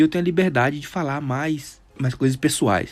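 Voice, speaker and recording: With a fairly high pitch, this man's voice shows ordinary pitch variation. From Brazil, Teófilo Otoni, Minas Gerais. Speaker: podcast host. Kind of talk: casual monologue. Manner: halting.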